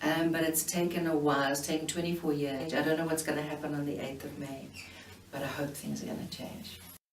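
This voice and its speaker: The speech moves at a fairly quick pace with ordinary pitch variation. Audible room echo and noticeable background noise are present. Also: woman, very deep, low pitch for a woman. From South Africa. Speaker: elder recounting history. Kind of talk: personal testimony interview. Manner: hesitant, many fillers.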